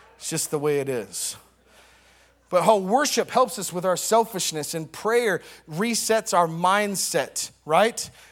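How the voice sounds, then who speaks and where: A high-pitched man with lively intonation and an animated tone, speaking at a fairly slow pace on a very clean recording with a silent background. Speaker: preacher. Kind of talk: sermon. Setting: church. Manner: call-and-response.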